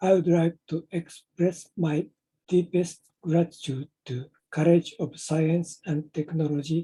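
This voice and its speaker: In a Japanese accent, a man speaks very slowly with a high pitch, a dark, mellow tone and monotone, flat intonation. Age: 70s. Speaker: inventor presenting his project. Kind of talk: prepared presentation. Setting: online meetup.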